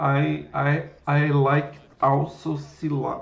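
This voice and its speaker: There is audible room echo around the voice. A man speaks with a Brazilian Portuguese accent. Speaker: programming livestreamer. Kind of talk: live coding stream chat. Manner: halting, with repetitions.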